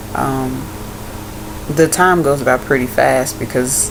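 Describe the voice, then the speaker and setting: The recording carries audible room echo and noticeable background noise. The speaker is a woman. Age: 20s. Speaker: vlogger and college student. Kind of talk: casual vlog.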